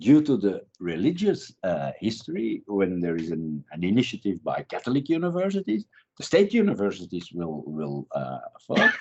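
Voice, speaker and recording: Speaking with a Dutch accent, a man keeps a moderate pace. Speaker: criminology professor. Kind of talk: interview. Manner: halting.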